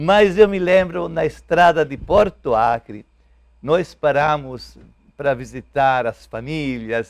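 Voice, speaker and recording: The speaker talks at a very slow pace with an Italian accent. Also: man. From Italy. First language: Italian (speaking Portuguese). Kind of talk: TV interview. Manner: halting.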